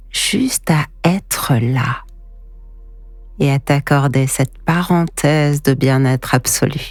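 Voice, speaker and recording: Delivered at a very slow pace with long, frequent pauses, the speech keeps a very even loudness and ordinary pitch variation over music in the background. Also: woman, very deep, low pitch for a woman. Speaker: hypnotherapist. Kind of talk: sleep hypnosis.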